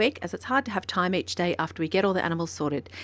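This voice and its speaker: Very fast speech in an Australian accent with vocal fry and ordinary pitch variation, on a very clean recording against a silent background. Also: woman. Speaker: horse trainer. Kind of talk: vlog narration.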